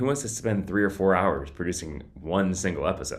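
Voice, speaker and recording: There's audible room echo as a man talks with lively intonation. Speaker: podcasting vlogger. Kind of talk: casual tutorial vlog. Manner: occasional stuttering and filler words; casual, conversational.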